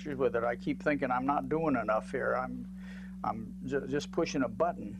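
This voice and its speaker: With music in the background, this man talks at a moderate pace. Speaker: retired university president. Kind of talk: interview. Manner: loud; halting.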